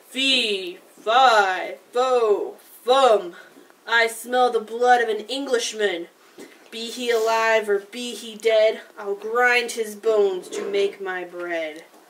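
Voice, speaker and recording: A booming, bellowing put-on character voice from a woman, fairly high in pitch, at a very slow pace. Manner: bellowing, booming.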